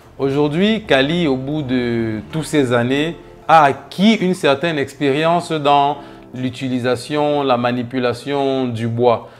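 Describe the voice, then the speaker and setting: Over background music, a man speaks at a very slow pace. His pitch is fairly high with ordinary variation. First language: a Cameroonian local language (speaking French). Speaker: entrepreneur, wood craftsman. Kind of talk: interview monologue, self-presentation.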